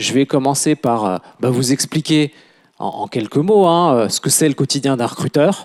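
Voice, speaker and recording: At a moderate pace, a man speaks with a medium pitch, the sound dry and close with no echo. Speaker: recruitment consultant. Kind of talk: conference talk. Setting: conference room with audience. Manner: halting, many hesitations. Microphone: quiet at first, mic moved closer.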